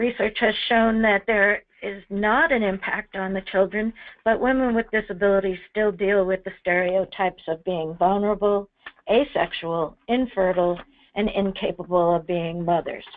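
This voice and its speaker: Medium pitch from a woman in a normal speaking voice, with ordinary pitch variation and a moderate pace. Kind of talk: webinar presentation.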